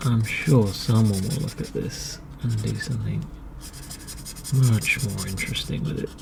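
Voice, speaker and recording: A man talks in a calm tone at a moderate pace, with long, frequent pauses. Noticeable background noise is present. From England. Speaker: artist. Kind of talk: ASMR talk while drawing. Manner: soft-spoken, calm.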